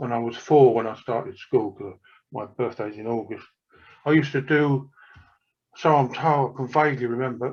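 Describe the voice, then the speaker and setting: A man in an English accent, medium pitch and ordinary pitch variation. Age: 70s. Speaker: author. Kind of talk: casual chat.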